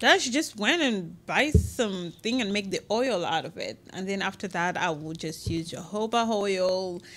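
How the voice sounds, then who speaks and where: A woman's medium-pitched voice at a moderate pace, lively in intonation, with hardly any pauses. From Quebec City, Canada (born in Congo). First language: French. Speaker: cosmetics company founder. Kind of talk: interview.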